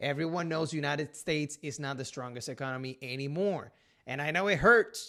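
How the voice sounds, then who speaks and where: A man with a Puerto Rican accent speaks at a moderate pace. His pitch is fairly high, with ordinary variation and a bright, sharp tone. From Puerto Rico. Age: 30s. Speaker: realtor. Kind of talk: casual talk to camera.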